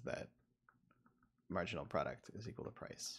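A man's voice with vocal fry at a fairly quick pace. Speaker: university economics professor. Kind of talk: lecture. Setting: video call. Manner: halting, filler-heavy.

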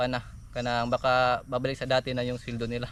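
A man is talking. His pace is very fast. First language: Cebuano/Bisaya (speaking Tagalog). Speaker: vlogger. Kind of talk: casual vlog monologue. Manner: halting.

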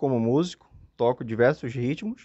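Lively intonation marks a man's fairly slow speech. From Amapá, northern Brazil. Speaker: comedian and influencer. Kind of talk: casual interview chat. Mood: friendly, grateful, upbeat. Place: home room. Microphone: handheld.

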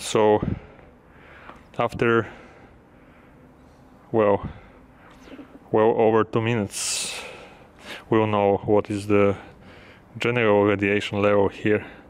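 Pausing long and often, a man speaks at a fairly low pitch. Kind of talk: casual vlog commentary. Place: station.

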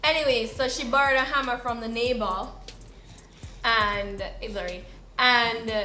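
A woman with a Jamaican accent at a moderate pace, fairly even intonation, audible room echo and faint music in the background. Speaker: storyteller vlogger. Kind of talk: casual storytime talk to camera. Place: home room.

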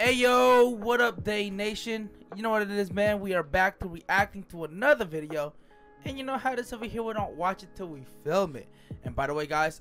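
Faint background music under a man talking at a fairly quick pace. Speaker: reaction channel host. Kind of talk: casual reaction chat. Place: home room. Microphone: studio mic.

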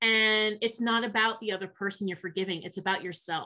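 A woman's fairly high, bright and sharp voice with ordinary pitch variation, over a quiet background. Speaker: sign language interpreter voicing a deaf guest; guest. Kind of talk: interpreted interview, first-person voicing. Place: home room. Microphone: video call.

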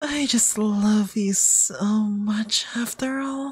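A man puts on a character voice pitched high. His tone is menacing. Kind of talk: ASMR roleplay. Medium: virtual streamer. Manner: sweet, coaxing, quietly menacing.

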